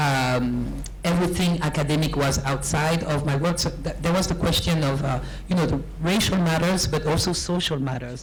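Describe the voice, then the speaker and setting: A woman speaks at a moderate pace with a very deep, low pitch and ordinary pitch variation. Noticeable background noise and audible room echo are present. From France, Paris-area housing project. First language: French. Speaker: academic author. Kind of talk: panel discussion.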